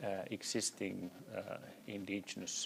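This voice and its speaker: A man speaks with a Sami accent. Music plays behind him. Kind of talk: panel discussion. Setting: seminar hall with audience.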